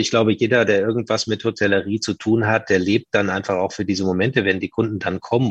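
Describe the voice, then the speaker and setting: Fairly even in intonation and fairly quick in pace, this is an ordinary speaking voice. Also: man. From northern Germany, Hamburg. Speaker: hotel group manager. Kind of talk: interview.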